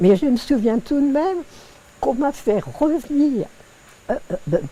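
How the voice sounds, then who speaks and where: A woman's voice over noticeable background noise. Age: 80s+. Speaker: woman who witnessed women's first vote in France. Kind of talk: interview answer.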